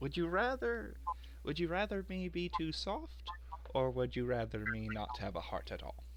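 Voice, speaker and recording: A man's put-on character voice with long, frequent pauses amid loud background noise. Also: moderate pace. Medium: actual play.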